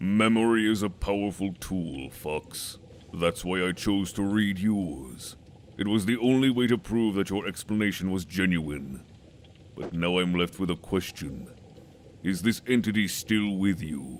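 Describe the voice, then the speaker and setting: This is a put-on character voice at a moderate pace. Clear background noise sits behind it. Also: man, very deep, low pitch for a man. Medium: machinima. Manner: cold, measured.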